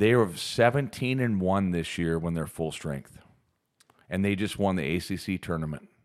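Speaking at a moderate pace, a man uses a very deep, low pitch with ordinary variation. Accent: American. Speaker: podcast co-host. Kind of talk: casual chat podcast. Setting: recording studio.

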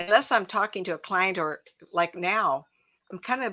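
A woman talks at a fairly quick pace in a medium pitch with a bright, sharp tone. Her pitch varies in an ordinary way. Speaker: psychic counselor. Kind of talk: casual chat.

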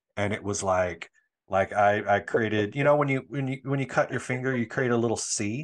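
An ordinary speaking voice moves at a fairly quick pace with ordinary pitch variation. The background is quiet. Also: man, medium pitch for a man. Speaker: hairstylist and social media creator. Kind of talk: casual interview.

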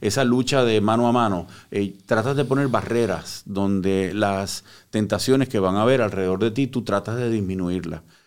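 A man talks in a plain, everyday voice at a moderate pace, with a fairly low pitch and ordinary pitch variation. His loudness is very even, and the recording is very clean with a silent background. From Puerto Rico (born in Cuba). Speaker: psychotherapist, recovered addict. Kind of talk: personal testimony in interview. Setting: studio.

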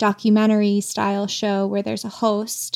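A woman's ordinary speaking voice, fairly high in pitch, at a moderate pace on a very clean recording with a silent background. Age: 30s. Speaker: writer and audio producer. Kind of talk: casual chat.

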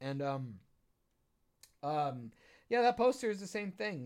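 An animated man talks at a moderate pace, his pitch swinging very widely. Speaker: podcast co-host, filmmaker. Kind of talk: casual chat. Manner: trying not to yell as much.

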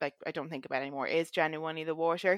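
A woman's very deep, low voice with an Irish accent, fairly even intonation, dry and close with no echo, a very clean recording with a silent background. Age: 20s. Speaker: fitness coaching client. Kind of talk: casual chat.

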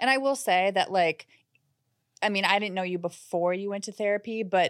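With an American accent, a woman speaks in a normal speaking voice at a moderate pace with ordinary pitch variation, the sound dry and close with no echo on a very clean recording with a silent background. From US Midwest, Minnesota. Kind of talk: casual chat.

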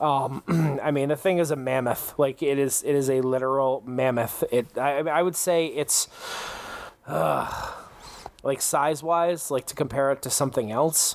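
Over noticeable background noise, a man speaks fairly slowly at a fairly high pitch with fairly even intonation. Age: 30s. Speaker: gaming podcast host. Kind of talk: casual chat.

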